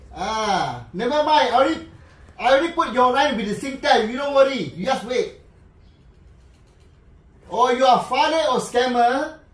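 The speech goes at a moderate pace, with room echo clearly audible. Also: man. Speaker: scam call recipient. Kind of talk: mocking phone call with a scammer. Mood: mocking, playful. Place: home room. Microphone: camera far.

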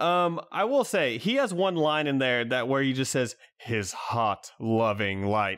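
A man's medium-pitched voice at a fairly slow pace, with very wide pitch swings, very even loudness, and hardly any pauses, on a very clean recording with a silent background. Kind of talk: casual chat.

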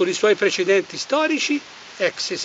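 Amid noticeable background noise, a man speaks at a moderate pace with ordinary pitch variation. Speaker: political commentator. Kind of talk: commentary. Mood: scornful, critical. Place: forest.

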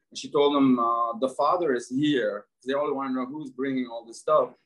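A man with an Arabic accent at a fairly quick pace against a quiet background. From Lebanon. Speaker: entrepreneur. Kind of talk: casual interview. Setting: video call. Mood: warm, reflective storytelling. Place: home room. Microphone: video call.

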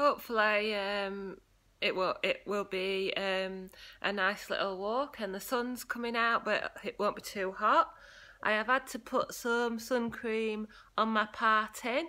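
A woman's bright, sharp tone at a fairly slow pace, with ordinary pitch variation. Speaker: walking vlogger. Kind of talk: casual vlog chat. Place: home room. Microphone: phone near.

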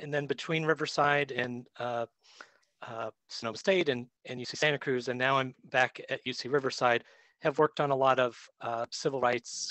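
Over a quiet background, a man talks at a moderate pace with fairly even intonation in a dry sound with no echo. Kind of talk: lecture. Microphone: video call.

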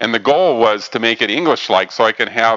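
Against a quiet background, the man's words come at a fairly quick pace. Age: 60s. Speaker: robotics educator presenting to programming group; presenter. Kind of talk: technical presentation. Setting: meeting room with microphone. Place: meeting room.

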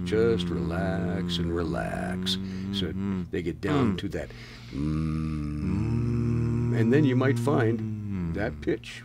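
Loud music plays behind a man who speaks at a very slow pace. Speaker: professional voice actor. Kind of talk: interview answer, voice exercise instruction. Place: office. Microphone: studio mic.

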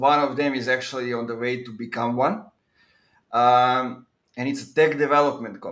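Someone with a Serbian accent speaks at a moderate pace with fairly even intonation. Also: man. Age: 30s. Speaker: podcast host. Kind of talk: podcast interview. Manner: hesitant with frequent fillers. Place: home room. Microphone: video call.

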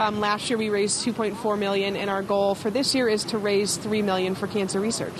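With noticeable background noise but a dry sound with no echo, a woman speaks quickly in a monotone, flat intonation, her loudness very even and her pauses hardly any. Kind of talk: interview answer. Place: street. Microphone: handheld.

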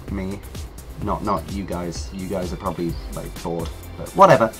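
A man with a British accent at a moderate pace, music playing behind him. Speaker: YouTuber. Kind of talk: casual talk to camera.

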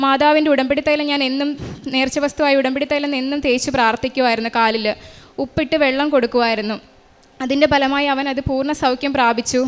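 With a high voice, a woman talks in monotone, flat intonation. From Kerala, Kollam district. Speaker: radiographer giving a church testimony. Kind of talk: testimony. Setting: church altar.

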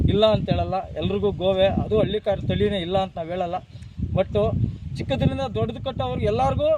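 A man speaks over noticeable background noise. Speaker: farmer. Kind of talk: interview.

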